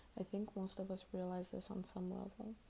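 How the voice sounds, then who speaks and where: A soft-spoken woman whispers at a moderate pace, her voice somewhat breathy. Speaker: ASMR content creator. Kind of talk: ASMR article reading. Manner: soft-spoken, whispery.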